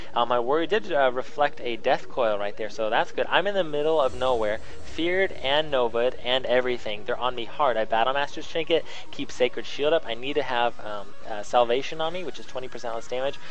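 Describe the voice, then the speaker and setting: Through audible room echo, a man with a medium-pitched voice and ordinary pitch variation talks at a fairly quick pace with hardly any pauses. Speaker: gaming video commentator. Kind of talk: gameplay commentary tutorial. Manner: halting, many fillers.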